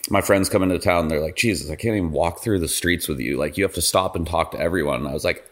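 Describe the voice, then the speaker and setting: With an American accent, a man with a very deep, low pitch and vocal fry speaks in an animated tone with ordinary pitch variation, on a very clean recording with a silent background. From Idaho, US. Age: 30s. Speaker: pro skier running for mayor. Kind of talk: casual interview.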